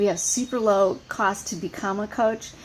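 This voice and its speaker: A woman talks in a fairly high register, noticeable background noise audible throughout. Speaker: fitness coach. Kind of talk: team training call. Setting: outdoors on front porch. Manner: fast.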